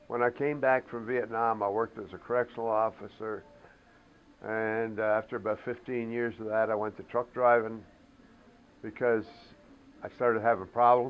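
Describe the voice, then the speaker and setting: With music in the background, a man talks at a moderate pace in a monotone, flat intonation, pausing long and often. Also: medium pitch for a man. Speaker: war veteran. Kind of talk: interview testimony.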